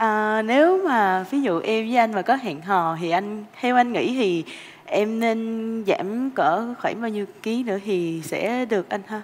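A woman with a Southern Vietnamese accent, her fairly high pitch and lively intonation carried at a very slow pace. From Ho Chi Minh City, Vietnam. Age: 20s. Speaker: dating show contestant. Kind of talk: casual chat; conversational answer on a TV show. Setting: studio. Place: studio.

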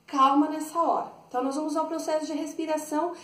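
An extremely high-pitched woman's voice with audible room echo. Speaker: dance teacher. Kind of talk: tutorial. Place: home room. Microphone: camera far.

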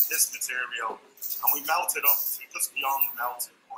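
A man at a fairly slow pace with music in the background. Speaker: presenter. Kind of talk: technical explanation. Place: workshop. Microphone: webcam.

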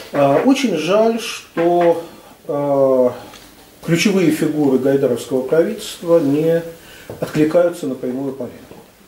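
A man at a very slow pace, with long, frequent pauses and audible room echo. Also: ordinary pitch variation. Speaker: discussant. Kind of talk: discussion. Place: meeting room.

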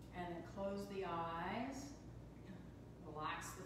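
A woman talks at a very slow pace. Strong room echo and noticeable background noise surround her voice. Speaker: yoga and meditation teacher. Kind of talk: guided meditation. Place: hall. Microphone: camera far.

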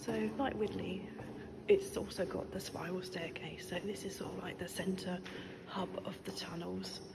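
There is noticeable background noise. A woman speaks at a fairly slow pace. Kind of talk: casual vlog chat. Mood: relaxed, exploring. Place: tunnel cave. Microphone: phone near.

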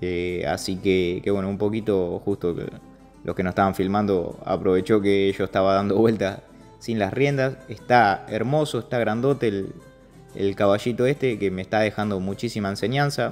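A man speaks at a moderate pace in a fairly low voice. His pitch varies in an ordinary way, with music in the background. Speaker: horse trainer. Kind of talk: voice-over narration of own video. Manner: casual, hesitant.

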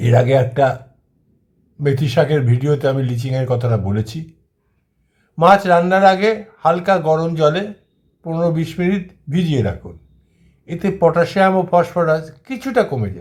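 A man talks in an ordinary speaking voice, pitched fairly high. His intonation is lively. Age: 60s. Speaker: kidney patient and health video host. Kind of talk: informational monologue.

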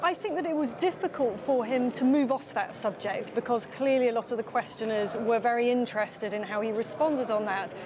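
A woman with a British accent talks at a fairly quick pace with hardly any pauses, high in pitch with ordinary variation, over noticeable background noise. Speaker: political journalist. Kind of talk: live TV interview. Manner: formal. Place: hall. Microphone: lapel.

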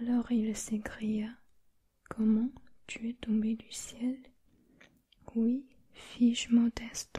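Someone whispers at a very slow pace in a soothing tone. The background is quiet. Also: woman. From China. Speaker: ASMR creator. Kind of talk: whispered bedtime reading of a children's novel aloud. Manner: hushed, slow, soothing whisper; gentle, steady narrative pacing. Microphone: studio mic.

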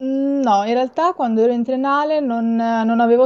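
Over a quiet background, a woman talks at a moderate pace with fairly even intonation. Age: 20s. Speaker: marine biologist and shark science communicator; guest. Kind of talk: interview about sharks on a livestream. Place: home room.

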